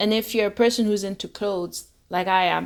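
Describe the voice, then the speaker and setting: A woman with a medium pitch and a plain, everyday voice speaks at a moderate pace in a very clean recording with a silent background. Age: young. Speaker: fashion enthusiast. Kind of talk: casual interview chat.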